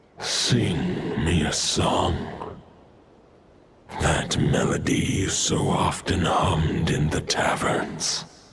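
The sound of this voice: Putting on a character voice, a man speaks very slowly with an extremely low pitch, vocal fry, a fairly bright tone and fairly even intonation.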